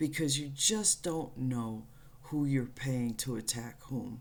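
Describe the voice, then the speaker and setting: Very slow speech with audible room echo. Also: woman. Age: 60s. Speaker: spiritual channel host. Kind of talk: spiritual monologue. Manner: blunt, profane.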